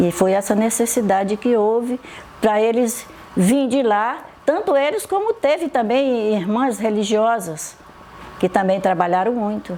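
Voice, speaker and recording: Noticeable background noise sits under a woman's voice. She speaks at a fairly high pitch and a fairly slow pace. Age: 80s+. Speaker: catechist. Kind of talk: testimony.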